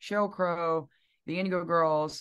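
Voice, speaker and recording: This woman has a Southern US accent and a medium pitch. The background is quiet. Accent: Southern twang. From US South, Alabama (Piedmont). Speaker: singer-songwriter. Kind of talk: interview.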